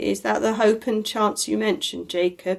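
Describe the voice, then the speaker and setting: This is a put-on character voice, raspy and shaky at a middle pitch. It moves along at a moderate pace. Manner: faltering, trembling.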